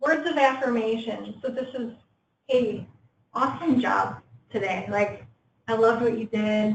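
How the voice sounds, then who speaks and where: A woman speaks at a fairly slow pace with a fairly high, somewhat breathy voice. Long pauses come often between her words. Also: ordinary pitch variation. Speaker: workshop presenter. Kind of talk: workplace training presentation.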